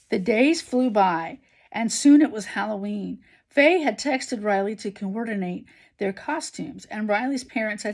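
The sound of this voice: Someone reads in an unforced voice.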